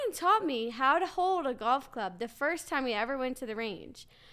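A woman projects her voice loudly, with a high pitch and lively intonation. Her tone is bright and sharp. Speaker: podcast co-host. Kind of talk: casual chat.

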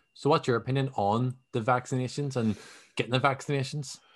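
With a Belfast accent, a man speaks with ordinary pitch variation against a quiet background. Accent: Belfast Northern Irish. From Northern Ireland, Belfast. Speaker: podcaster. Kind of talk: casual chat.

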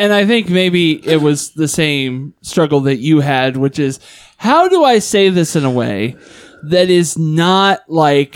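On a very clean recording with a silent background, a man with a fairly high pitch speaks very slowly, with lively intonation and very even loudness. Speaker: podcast host. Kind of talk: casual chat.

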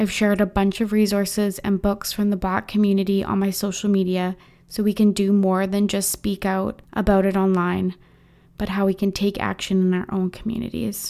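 On a very clean recording with a silent background, a woman with a dark, mellow tone speaks at medium pitch and a moderate pace in a monotone, flat intonation. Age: 20s. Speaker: podcast host. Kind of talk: scripted statement. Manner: earnest, measured.

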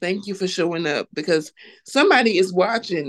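A woman with an American accent, medium-pitched, in an ordinary speaking voice, with dry, close sound and no echo. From North Carolina, US South. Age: 40s. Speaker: clothing business owner. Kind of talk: personal testimony in interview.

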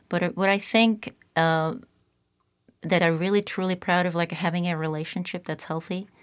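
A woman with a Czech accent, fairly low pitch, fairly even intonation, a moderate pace and long, frequent pauses. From Czech Republic. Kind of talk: interview conversation. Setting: studio.

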